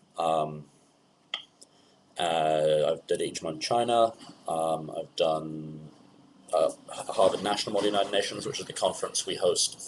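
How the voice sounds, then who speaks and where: A man with a British accent speaks with long, frequent pauses. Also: fairly slow pace. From England. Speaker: student conference director. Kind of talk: webinar presentation. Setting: webinar, online. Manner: hesitant, many fillers.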